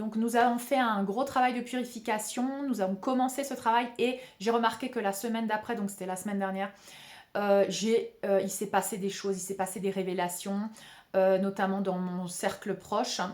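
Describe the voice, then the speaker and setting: A woman of medium pitch talks at a moderate pace, her intonation fairly even. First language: Spanish (speaking French). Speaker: spiritual healer and video channel host. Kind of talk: spiritual talk to camera. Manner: hesitant, many fillers and repetitions.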